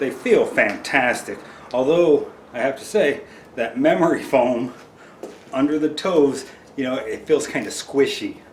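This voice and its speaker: A man's voice with long, frequent pauses, audible room echo and noticeable background noise. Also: fairly slow pace. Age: 50s. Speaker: hiking vlogger. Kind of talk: casual product review vlog. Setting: home living room.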